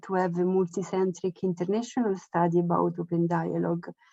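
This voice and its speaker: A woman's medium-pitched voice with a non-native accent, dry and close with no echo. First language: Italian. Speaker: researcher. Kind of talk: online presentation. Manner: halting.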